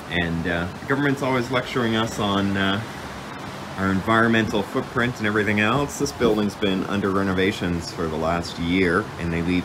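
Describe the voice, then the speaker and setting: Noticeable background noise sits behind a man whose fairly low pitch moves with ordinary variation as he talks at a moderate pace. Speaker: local vlogger. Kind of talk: casual vlog commentary. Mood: critical of government. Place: waterside. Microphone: phone near.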